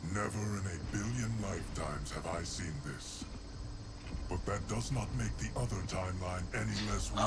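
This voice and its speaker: Putting on a character voice, a man speaks at a very deep, low pitch and moderate pace over loud background noise. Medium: game stream. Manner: measured, grave.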